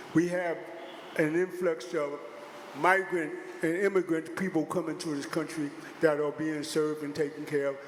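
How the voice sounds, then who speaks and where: A man speaks at a moderate pace in a fairly high pitch, his intonation monotone and flat. Noticeable background noise sits behind him. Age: 70s. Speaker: public hearing speaker. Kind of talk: public testimony.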